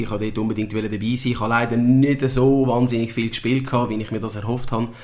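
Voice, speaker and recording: Monotone and flat, a man's medium-pitched voice runs at a fairly quick pace. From Switzerland. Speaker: football coach, former pro footballer. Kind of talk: interview. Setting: club premises.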